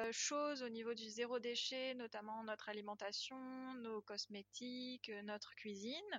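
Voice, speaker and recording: A woman speaks with a high pitch. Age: 20s. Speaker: zero-waste guesthouse owner. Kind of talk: testimony.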